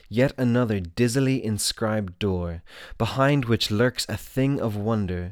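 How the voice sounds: Simply a natural reading voice.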